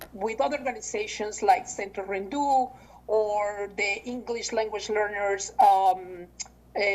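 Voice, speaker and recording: A woman with a Spanish accent speaks at a fairly slow pace and a fairly high pitch. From Mexico. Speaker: city council member. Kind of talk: council meeting questions.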